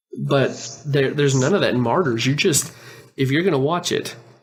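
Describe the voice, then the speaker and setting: Speaking at a moderate pace, a man has a plain, everyday voice pitched in the medium range. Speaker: podcast co-host. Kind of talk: casual podcast discussion.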